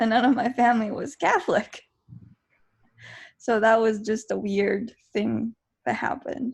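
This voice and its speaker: The speech is somewhat breathy, with fairly even intonation and long, frequent pauses. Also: woman, fairly high pitch for a woman. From Beijing, China and Canada. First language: Mandarin Chinese. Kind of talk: casual interview chat. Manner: hesitant, many fillers and restarts.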